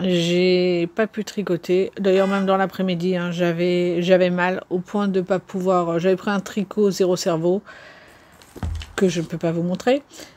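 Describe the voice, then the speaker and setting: A woman talks at a fairly slow pace and a medium pitch, her intonation monotone and flat, with noticeable background noise behind her. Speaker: YouTube vlogger on knitting and reading. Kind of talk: casual vlog talk to camera. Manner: hesitant, many fillers; slower than usual, halting.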